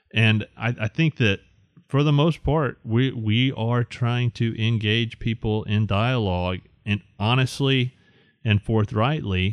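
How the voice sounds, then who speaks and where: A man with a Southern US accent speaks at a very slow pace, medium in pitch with ordinary pitch variation and very even loudness. The sound is dry and close with no echo, over a quiet background. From Alabama. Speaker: graphic designer and ministry board member. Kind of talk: casual chat.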